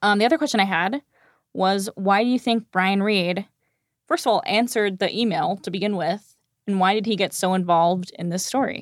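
A woman with an unremarkable speaking voice talks fairly quickly at medium pitch with ordinary pitch variation, in a dry, close, very clean recording with a silent background and no echo. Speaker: podcast host. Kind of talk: casual chat.

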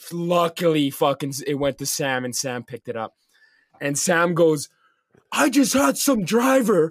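The delivery is fairly slow, with very wide pitch swings and a dry, close sound with no echo. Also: man. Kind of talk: casual banter, profane story-telling between friends. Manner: rambling, filler-heavy, sweary.

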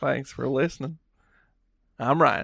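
A man puts on a character voice that is raspy and medium in pitch. The background is quiet. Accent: Alabama. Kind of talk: podcast outro.

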